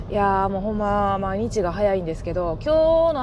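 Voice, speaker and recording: A woman with a Kansai accent, over noticeable background noise. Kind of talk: casual monologue. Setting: in a car while driving. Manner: usually loud, keeping voice down today. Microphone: new earphone mic.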